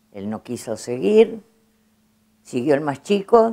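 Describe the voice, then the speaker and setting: A woman speaks fairly slowly. Her tone comes across as dark and mellow. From Argentina, Trenque Lauquen. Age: 70s. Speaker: bandoneon player. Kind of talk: interview.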